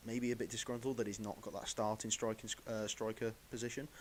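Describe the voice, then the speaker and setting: Here a man speaks with an English accent at a fairly low pitch. His pace is fairly quick. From England. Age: 20s. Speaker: football pundit. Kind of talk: live stream commentary. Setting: live stream. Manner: halting.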